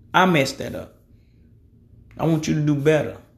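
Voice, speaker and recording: A man talks at a moderate pace with fairly high pitch. Audible room echo surrounds his voice. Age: 30s. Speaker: podcast host. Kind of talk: casual monologue. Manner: casual, rambling.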